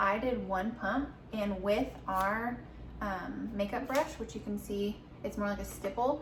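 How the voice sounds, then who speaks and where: Recorded with audible room echo and noticeable background noise, a woman with an American accent speaks at a medium pitch. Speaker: beauty vlogger. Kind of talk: casual chat. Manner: casual.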